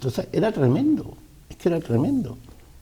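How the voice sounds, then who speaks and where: A man talking at a very fast pace. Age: 60s. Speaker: businessman. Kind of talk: interview.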